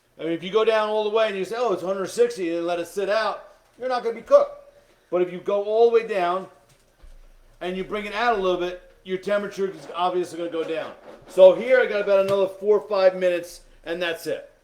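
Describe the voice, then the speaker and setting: Amid noticeable background noise, a man with a high voice talks very fast with fairly even intonation. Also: big swings in loudness. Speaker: cooking instructor. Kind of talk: cooking tutorial. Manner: loud.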